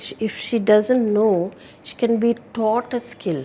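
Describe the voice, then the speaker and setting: A woman with a fairly high voice speaks at a fairly slow pace over noticeable background noise. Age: 70s. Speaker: retired sales and customer service executive. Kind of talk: interview.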